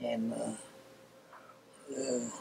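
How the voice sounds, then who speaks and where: With an East Tennessee accent, a man speaks over noticeable background noise. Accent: East Tennessee Southern. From Knoxville, Tennessee. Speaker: World War II veteran. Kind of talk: interview answer.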